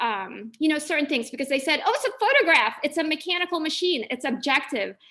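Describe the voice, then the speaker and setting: A woman speaks in a raised, projected voice. Her tone is bright and sharp, with ordinary pitch variation. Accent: American. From Philippines, then Los Angeles. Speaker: visiting artist and educator. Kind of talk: lecture. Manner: casual, conversational.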